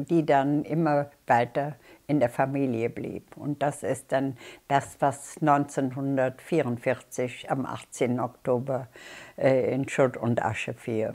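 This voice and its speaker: A woman speaks very slowly in a very deep, low pitch. Her tone is dark and mellow against a quiet background. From Bonn, Germany. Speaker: war eyewitness. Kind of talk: interview answer. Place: home room. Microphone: lapel.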